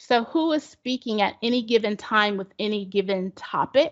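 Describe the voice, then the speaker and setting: Her intonation is lively. This woman's voice is fairly high in pitch. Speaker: college instructor leading a workshop. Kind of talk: webinar presentation.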